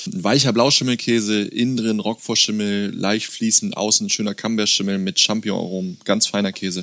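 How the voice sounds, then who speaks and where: A normal speaking voice moves at a moderate pace with hardly any pauses. The intonation stays fairly even. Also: man, fairly low pitch for a man. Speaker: farm owner and cheesemaker. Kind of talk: casual interview with cheese tasting. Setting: on the farm, face to face.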